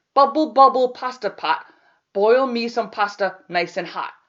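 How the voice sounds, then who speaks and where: In a put-on character voice, a woman speaks at a fairly high pitch. Her intonation is lively and her pace moderate. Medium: read story.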